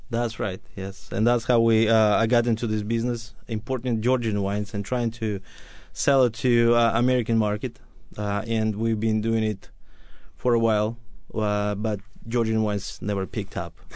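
This man speaks with a Russian accent at a moderate pace. His intonation is monotone and flat. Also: medium pitch for a man. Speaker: wine and spirits importer. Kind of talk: radio interview.

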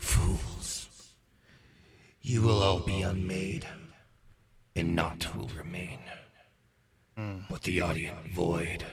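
A growling, put-on character voice moves at a very slow pace with long, frequent pauses. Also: man, very deep, low pitch for a man. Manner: ominous, doom-laden.

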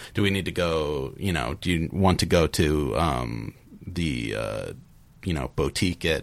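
A man talks in a very deep, low pitch with vocal fry. His intonation is lively. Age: 30s. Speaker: computer programmer and father. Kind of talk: panel discussion. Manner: halting.

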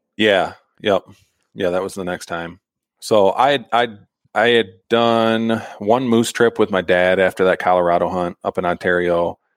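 In an American accent, a man with a normal speaking voice talks at a moderate pace, fairly low in pitch and with fairly even intonation, in a very clean recording with a silent background and a dry, close sound with no echo. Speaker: bowhunter and llama packer. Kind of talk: casual interview chat.

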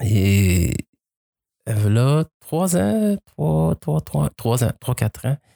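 A man speaks with a fairly low pitch and lively intonation. The sound is dry and close, with no echo. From Quebec. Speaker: adoptee telling his story. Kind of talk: casual interview. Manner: halting, repeats words.

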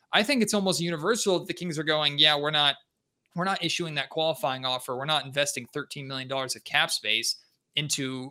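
A man's bright, sharp, animated voice, fairly high in pitch, at a fairly quick pace with ordinary pitch variation, in a very clean recording with a silent background. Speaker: sports podcast host. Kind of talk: casual sports talk. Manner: animated host delivery.

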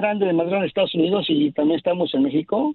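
A man's high-pitched voice with lively intonation. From Mexico. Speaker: communications technician. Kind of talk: interview.

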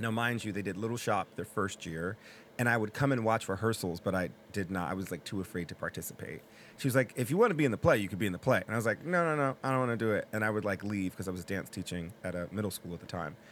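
With an American accent, a man talks at a very fast pace in a fairly low pitch, showing ordinary pitch variation. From New Haven, Connecticut. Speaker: actor and playwright. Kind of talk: interview.

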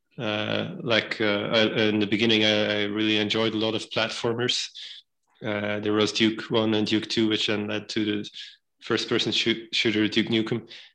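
Against a quiet background, a man with a fairly low pitch and a bright, sharp tone speaks at a moderate pace. His intonation is monotone and flat. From Belgium. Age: 30s. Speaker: game development company founder. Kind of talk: interview.

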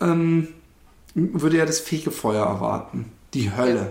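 The speaker is a man with a fairly high pitch. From Karlsruhe, Germany. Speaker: podcast co-host. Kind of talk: casual chat.

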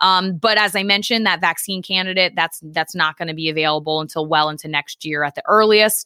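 A woman with an unremarkable speaking voice talks at a fairly quick pace and fairly low pitch, with ordinary pitch variation and hardly any pauses. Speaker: science podcast host. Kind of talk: educational explanation.

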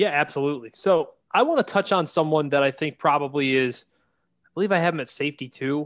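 Animated in tone and fairly quick, a man speaks with ordinary pitch variation over a quiet background. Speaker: podcast host and draft analyst. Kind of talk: casual banter, sports analysis. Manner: joking, animated.

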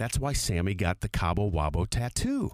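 A man with an ordinary speaking voice, fairly low in pitch. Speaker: radio host. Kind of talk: casual chat.

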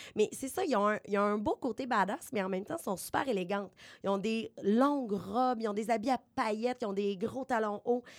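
Recorded very cleanly with a silent background, a woman speaks at a fairly high pitch and a moderate pace, with ordinary pitch variation. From Beauce, Quebec. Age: young. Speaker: media worker, music columnist. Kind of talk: casual chat.

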